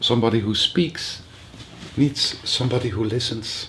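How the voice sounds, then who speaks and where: Delivered with a non-native accent, the speech goes at a fairly slow pace with ordinary pitch variation. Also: man. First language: not English. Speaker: spiritual teacher. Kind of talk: workshop talk. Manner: halting.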